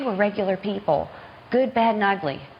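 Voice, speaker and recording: Noticeable background noise accompanies a woman with an American accent who speaks at a fairly quick pace, medium in pitch with ordinary pitch variation. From US South, Norfolk, Virginia. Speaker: children's author. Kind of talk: TV news interview.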